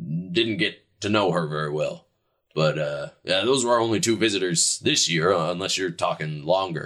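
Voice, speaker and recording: Putting on a character voice, a man booms loudly at a very deep, low pitch. His intonation is lively and his pace moderate. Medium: actual play. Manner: loud, genial.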